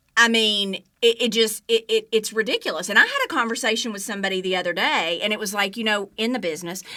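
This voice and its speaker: In a Southern US accent, a woman with a fairly high voice speaks at a very fast pace with hardly any pauses. Her intonation stays fairly even. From Alabama, US South. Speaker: TV news journalist. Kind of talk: interview answer.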